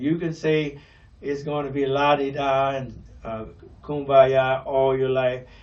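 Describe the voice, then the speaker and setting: Audible room echo surrounds a man's voice. He speaks at a fairly slow pace. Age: 70s. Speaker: pastor. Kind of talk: radio talk show monologue. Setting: radio broadcast. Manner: hesitant, many fillers.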